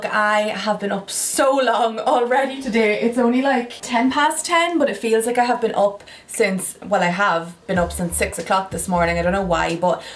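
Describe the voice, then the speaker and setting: There is noticeable background noise as a woman in an Irish accent talks at a moderate pace with ordinary pitch variation. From Ireland. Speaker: lifestyle vlogger. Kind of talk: casual talk to camera.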